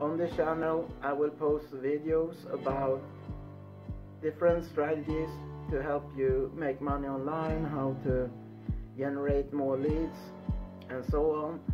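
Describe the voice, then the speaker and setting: A man speaking at a fairly slow pace over clear music in the background. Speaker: online marketer. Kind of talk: casual talk to camera. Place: home room. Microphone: phone near.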